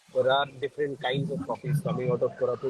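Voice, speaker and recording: Soft-spoken and with an Indian accent, a man talks fairly quickly at a fairly high pitch with fairly even intonation. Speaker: co-founder of coffee farming foundation. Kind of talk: live interview. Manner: hesitant, many fillers.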